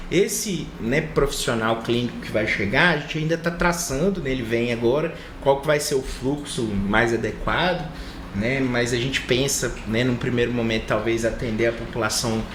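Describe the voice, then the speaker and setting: A man with a Minas Gerais accent speaks in a room with audible echo and noticeable background noise. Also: medium pitch for a man, ordinary pitch variation, moderate pace. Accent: mineiro accent, marked. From Brazil, Minas Gerais (Conselheiro Lafaiete). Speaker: medical professor and doctor. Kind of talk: TV studio interview. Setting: TV studio.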